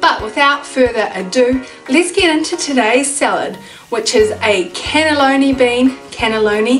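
Faint music sits in the background. A woman speaks with a high pitch. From New Zealand. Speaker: cooking channel host. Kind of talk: casual cooking tutorial to camera. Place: home room. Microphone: camera far.

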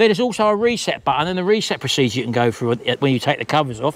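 A man speaks with lively intonation in a dry recording that has no echo. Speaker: vlogger. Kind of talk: casual vlog chat, rant. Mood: annoyed, ranting. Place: garden. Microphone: lapel.

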